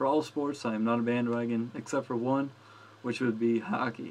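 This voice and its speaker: This is a man speaking. He talks with a New Jersey accent. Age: 20s. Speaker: gaming vlogger and college student. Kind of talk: casual vlog. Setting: dorm room.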